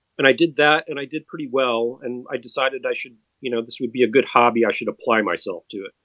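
A man speaks with an American accent in a normal speaking voice. His pitch is medium and his pace fairly quick. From US Midwest (Madison, Wisconsin). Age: 50s. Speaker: endurance cyclist. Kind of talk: interview.

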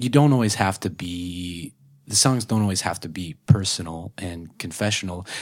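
A man with an American accent speaks at a fairly slow pace in a very deep, low pitch with ordinary pitch variation. The recording is very clean, with a silent background. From rural Oklahoma. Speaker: songwriter. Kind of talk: casual chat. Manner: halting.

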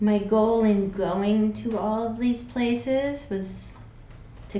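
A woman with an American accent at a very slow pace, with audible room echo and noticeable background noise. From US Northeast, Connecticut. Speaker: graduate student. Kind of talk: casual chat.

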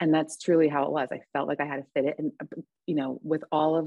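A woman speaks in a very deep, low pitch with vocal fry. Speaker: recovering alcoholic and mother. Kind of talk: casual chat; testimony.

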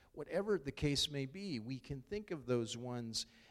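A man uses an ordinary speaking voice, keeping a moderate pace. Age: 50s. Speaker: pastor. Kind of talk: sermon.

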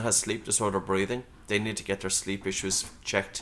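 In an Irish accent, a man speaks at a moderate pace with a bright, sharp tone, fairly low pitch and fairly even intonation. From Ireland, County Meath. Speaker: breathing instructor and author. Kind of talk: interview.

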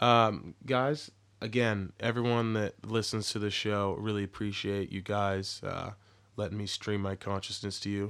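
In a very clean recording with a silent background, a man with a plain, everyday voice and an American accent speaks fairly slowly, fairly low in pitch, with fairly even intonation. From Texas. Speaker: podcast host. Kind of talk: casual interview chat.

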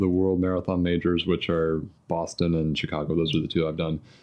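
In a Midwestern accent, a man talks at a moderate pace with a very deep, low pitch over a quiet background. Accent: American Midwestern. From US Midwest (southern Indiana, near Louisville). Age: 30s. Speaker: marathon runner and software engineer. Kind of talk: casual interview chat. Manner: hesitant, many fillers.

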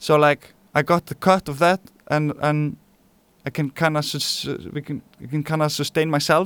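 In an Icelandic accent, a man speaks at a moderate pace and fairly high pitch in a monotone, flat way with long, frequent pauses, the sound dry and close with no echo on a very clean recording with a silent background. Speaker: musician. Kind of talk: interview.

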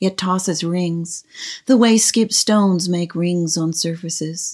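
Talking at a fairly slow pace, a woman with a fairly low pitch and an unremarkable speaking voice is captured on a very clean recording with a silent background. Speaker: poet. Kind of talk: poetry reading, reading own poems aloud in a hushed, contemplative, lyrical manner.

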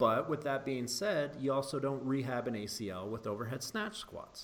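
Here is a man with an ordinary speaking voice, fairly high in pitch, talking at a moderate pace. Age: 40s. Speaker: podcast host, strength coach. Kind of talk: casual interview chat.

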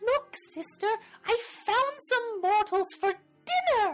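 A put-on character voice speaks at an extremely high pitch and a fairly slow pace. Faint music plays in the background. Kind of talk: playful, dramatic. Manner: yelling, gleeful.

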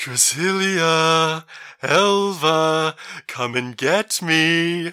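A man uses a put-on character voice at a fairly high pitch. He speaks at a very slow pace. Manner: eerie.

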